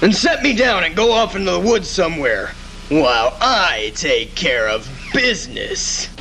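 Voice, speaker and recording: Over clear background noise, a man speaks in a put-on character voice. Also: moderate pace. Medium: audio drama. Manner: excitable.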